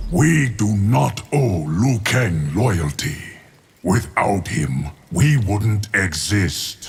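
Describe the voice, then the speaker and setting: A man uses a put-on character voice. He speaks at a very slow pace and a fairly low pitch. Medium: video game. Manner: stern.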